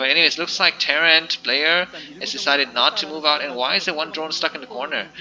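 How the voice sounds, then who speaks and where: Over noticeable background noise, a man with a non-native accent talks at a very fast pace. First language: not English. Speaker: StarCraft commentator. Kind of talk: live game commentary. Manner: hesitant, many fillers.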